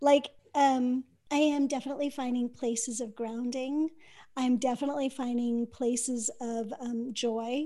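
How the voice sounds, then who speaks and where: Her voice is high and dark, mellow in tone, as the woman speaks in a monotone, flat way at a moderate pace. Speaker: podcast host. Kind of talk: casual chat. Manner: smiling, soothing.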